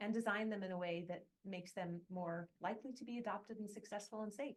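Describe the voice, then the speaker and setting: Talking at a very fast pace, a woman speaks with an American accent. Her medium pitch shows ordinary variation. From United States. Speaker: academic, seminar moderator. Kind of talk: event introduction.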